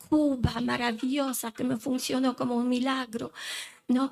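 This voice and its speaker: A woman with a non-native accent talks at a fairly slow pace in a fairly high voice. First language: not Spanish (speaking Spanish). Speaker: lawyer and mediator, conference speaker. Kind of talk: conference talk. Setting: conference hall with microphone.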